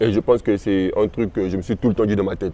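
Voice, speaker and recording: Dark and mellow in tone, a man talks at a very fast pace. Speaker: rapper. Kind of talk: interview.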